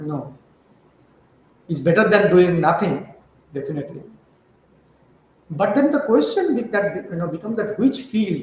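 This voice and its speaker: Amid audible room echo, a man with a Bengali accent speaks at a moderate pace in a high pitch with lively intonation and long, frequent pauses. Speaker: chemistry professor. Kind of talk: interview. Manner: hesitant, many fillers.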